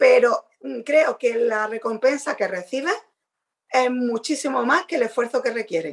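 A woman speaks at a high pitch and a fairly slow pace. Her intonation is lively. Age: 40s. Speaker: podcast co-host. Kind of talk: casual chat.

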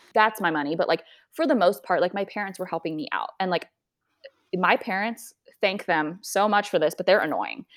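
With an American accent and an unremarkable speaking voice, a woman talks at a fairly quick pace, at medium pitch with ordinary pitch variation. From US, suburbs of Washington DC. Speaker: personal finance content creator. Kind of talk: casual interview.

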